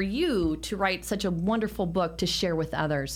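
A woman with a General American accent speaks in a normal speaking voice at a medium pitch and moderate pace, with ordinary pitch variation. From San Francisco, US. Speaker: talk show host and real estate agent. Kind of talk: interview. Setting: live video stream.

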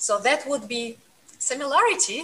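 A woman with a Russian accent speaks at a fairly slow pace against noticeable background noise. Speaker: piano teacher and pianist. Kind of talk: interview, conversational. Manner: hesitant, filler words, halting.

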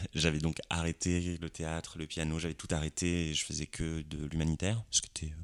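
A man speaks at a very deep, low pitch with monotone, flat intonation. He leaves hardly any pauses. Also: moderate pace. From France, Lorraine. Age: 30s. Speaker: actor. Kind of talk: casual chat. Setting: living room. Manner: halting.

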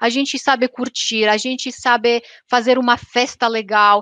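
A high-pitched woman talks with a Romanian accent at a fairly slow pace and ordinary pitch variation. The sound is dry and close with no echo. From Romania, Transylvania. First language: Romanian (speaking Portuguese). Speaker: YouTuber. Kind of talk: interview.

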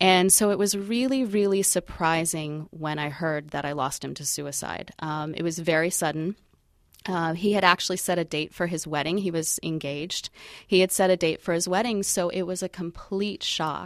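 A woman with an unremarkable speaking voice, fairly low pitch, ordinary pitch variation and moderate pace, on a very clean recording with a silent background. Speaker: suicide prevention walk organizer. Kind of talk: radio interview. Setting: studio.

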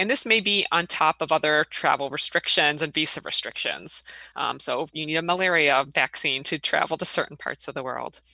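Bright and sharp with vocal fry, the voice moves at a moderate pace with hardly any pauses and ordinary pitch variation, sounding dry and close with no echo. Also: woman, very deep, low pitch for a woman. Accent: American. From Illinois. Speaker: engineering professor. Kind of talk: interview. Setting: remote recording.

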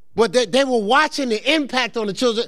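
In a very clean recording with a silent background, a man talks at a fairly quick pace in an animated tone with an American accent. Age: 50s. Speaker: pastor. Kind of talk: sermon. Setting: church. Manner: fast.

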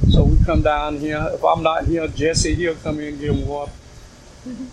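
With an American accent, a man speaks at a moderate pace and a fairly high pitch with fairly even intonation, amid audible room echo and noticeable background noise. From US South. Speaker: community garden founder. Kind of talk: oral history interview. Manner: halting.

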